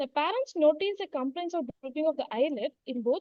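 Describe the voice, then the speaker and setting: A quiet woman talks at a fairly quick pace with lively intonation. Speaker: medical postgraduate student. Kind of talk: case presentation. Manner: too quiet. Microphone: far from the mic.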